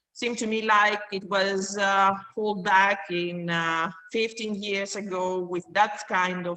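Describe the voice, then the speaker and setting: Noticeable background noise sits behind a woman speaking with a Greek accent. Her intonation stays fairly even. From Greece. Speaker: course student. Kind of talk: self-introduction in online class. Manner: halting, many fillers.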